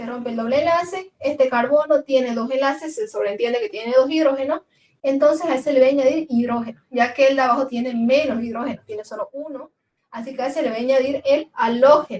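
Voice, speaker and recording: Talking very fast at a high pitch, a woman swings widely in loudness while her pitch varies in an ordinary way. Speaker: chemistry teacher. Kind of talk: lecture.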